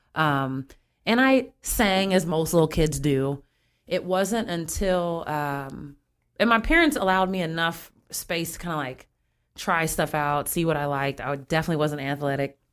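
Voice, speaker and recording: Very clean with a silent background, the recording has a woman with an American accent and a plain, everyday voice speaking at a moderate pace, in a fairly low pitch with ordinary pitch variation. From Springfield, Illinois, US Midwest. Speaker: singer and community volunteer. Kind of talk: casual chat.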